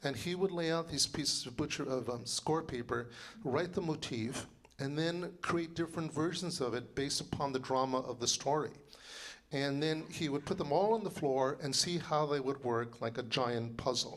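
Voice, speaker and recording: Audible room echo follows a man speaking at a moderate pace and a fairly high pitch, with ordinary pitch variation. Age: 60s. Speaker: composer and librettist. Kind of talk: lecture. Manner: animated.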